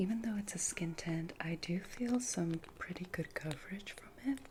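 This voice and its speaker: A soft-spoken woman's medium-pitched voice, gentle in tone, with ordinary pitch variation and a fairly slow pace over noticeable background noise. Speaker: ASMR creator. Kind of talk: ASMR roleplay personal attention. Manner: soft-spoken, gentle, caring.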